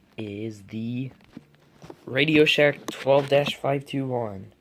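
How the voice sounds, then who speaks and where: A man speaks at a very slow pace with fairly even intonation. Noticeable background noise runs underneath. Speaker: tech unboxing youtuber. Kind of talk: unboxing tutorial. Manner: casual, hesitant.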